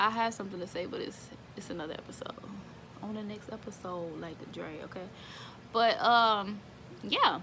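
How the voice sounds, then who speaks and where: A woman with an American accent, long, frequent pauses, audible room echo and noticeable background noise. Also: medium pitch for a woman, ordinary pitch variation, moderate pace. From Houston, Texas. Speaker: service dog handler and video creator. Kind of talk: casual informal talk to camera. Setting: at home. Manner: halting, many fillers.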